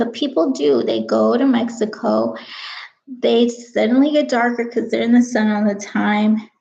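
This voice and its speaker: A woman's somewhat breathy, dark, mellow voice at a fairly high pitch, with ordinary pitch variation and a moderate pace. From California, Mexican-American. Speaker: vlogger, live show host. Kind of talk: casual live-stream monologue. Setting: live stream to camera at home. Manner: casual, rambling with fillers.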